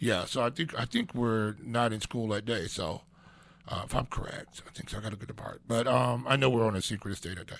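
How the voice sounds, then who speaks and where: A man talks at a fairly quick pace with vocal fry. His pitch is medium, and it varies in an ordinary way. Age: 60s. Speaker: radio talk show host. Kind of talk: casual radio talk. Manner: halting, many fillers.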